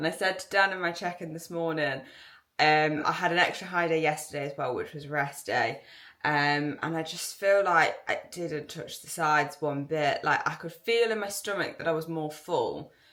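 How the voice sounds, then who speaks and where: A woman with a bright, sharp tone and fairly low pitch talks at a moderate pace, her intonation fairly even and her loudness swinging widely. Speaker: fitness competitor vlogger. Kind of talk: casual vlog.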